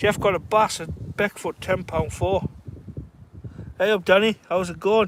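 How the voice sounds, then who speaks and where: With a Cumbrian accent, the speaker goes at a fairly slow pace with fairly even intonation and long, frequent pauses. The sound is dry and close, with no echo. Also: man, high pitch for a man. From northern England, Carlisle. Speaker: fishing livestreamer. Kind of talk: casual chat. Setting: outdoors.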